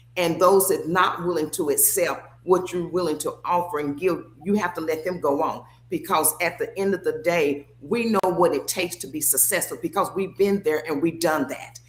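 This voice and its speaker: A woman's fairly low pitch with fairly even intonation, a moderate pace and hardly any pauses, in a normal speaking voice. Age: 60s. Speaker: former athlete and sports figure. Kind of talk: casual chat.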